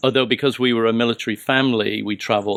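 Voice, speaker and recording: With an American accent, a man talks at a fairly quick pace. His intonation stays monotone and flat. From England and west coast of Scotland (Plymouth-born, schooled in Scotland). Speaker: kinesiology professor. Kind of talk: casual interview conversation. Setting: at guest's home.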